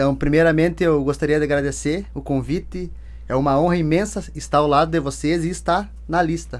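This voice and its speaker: At a fairly quick pace, a man keeps his loudness very even. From southern Brazil (Rio Grande do Sul). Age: 20s. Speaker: city council candidate. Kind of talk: podcast interview.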